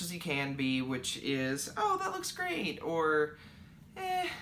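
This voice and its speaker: A man with a high pitch talks at a very slow pace. Audible room echo and noticeable background noise fill the recording. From Kentucky. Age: 20s. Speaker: knitting podcaster. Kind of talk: casual Q&A podcast.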